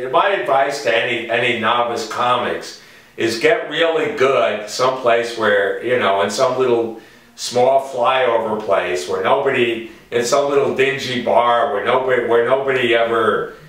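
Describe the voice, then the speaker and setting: Over noticeable background noise, a man speaks with a New York accent. His pace is fairly slow, with a medium pitch and ordinary pitch variation. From New York City. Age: 60s. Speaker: stand-up comedian. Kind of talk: interview answer.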